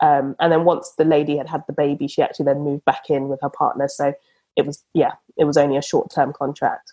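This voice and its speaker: Dark and mellow in tone, this voice with a British accent races at a very fast pace in a monotone, flat delivery. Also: woman, very deep, low pitch for a woman. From England (came from Uganda aged four). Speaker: property investor and surveyor. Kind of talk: casual interview.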